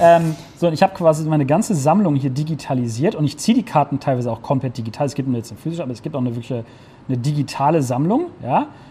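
This man talks extremely quickly. His voice sits fairly high. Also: ordinary pitch variation. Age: 30s. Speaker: entrepreneur, gaming venue founder. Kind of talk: casual interview with a walking tour of the venue.

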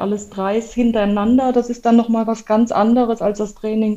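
At a moderate pace, a woman with a fairly high pitch talks in an unremarkable speaking voice. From former East Germany. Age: 40s. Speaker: intensive care nurse and amateur triathlete. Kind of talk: casual interview.

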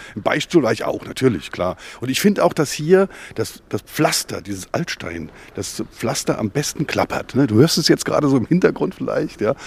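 A man with a fairly high voice speaks with very wide pitch swings and vocal fry. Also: moderate pace. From Mainz-Gonsenheim. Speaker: publisher and agency owner. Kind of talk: casual interview.

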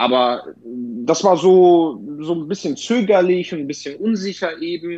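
This is a man speaking with a Polish accent. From Bavaria, Lower Franconia (Bad Kissingen). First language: Polish (speaking German). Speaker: booking agent and DJ. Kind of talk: casual interview. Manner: halting, many repeated words.

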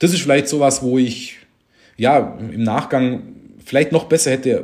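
The speaker is a man. He talks at a medium pitch. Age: 40s. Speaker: tax advisor, firm owner. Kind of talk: casual interview.

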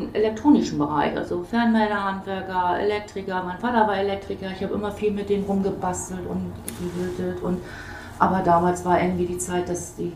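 A woman talks at a fairly quick pace. Room echo is audible, and the background noise is noticeable. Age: 50s. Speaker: hairdresser, salon owner. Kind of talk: casual interview. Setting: hair salon, on location.

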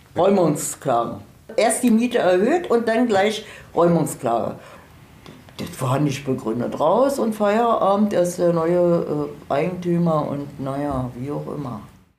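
Very slow speech with very wide pitch swings, audible room echo and noticeable background noise. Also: woman, fairly low pitch for a woman. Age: 70s. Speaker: tenant. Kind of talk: interview testimony.

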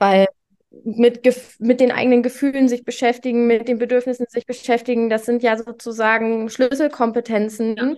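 High-pitched and monotone, a woman speaks with flat intonation. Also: moderate pace. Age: 20s. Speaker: primary school teacher. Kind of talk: casual interview.

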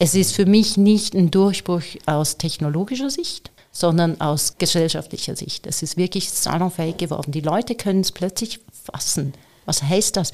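A woman speaks at a moderate pace in a fairly low pitch, with ordinary pitch variation and an unremarkable speaking voice. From Switzerland. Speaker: AI entrepreneur and speaker. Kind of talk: interview.

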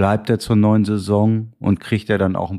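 A man with a fairly low pitch at a moderate pace, against a quiet background. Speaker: podcast host. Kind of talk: casual football talk. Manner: joking, teasing, animated.

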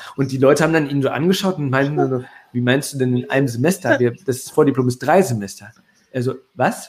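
A man's unremarkable speaking voice, mid-range in pitch, with normal pitch movement at a rather brisk speed. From Ruhr area, Germany. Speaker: email marketing entrepreneur. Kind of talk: casual interview.

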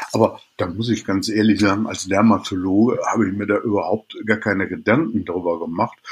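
A man with an ordinary speaking voice talks at a fairly low pitch, with fairly even intonation and hardly any pauses. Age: 50s. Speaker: dermatologist. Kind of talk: interview.

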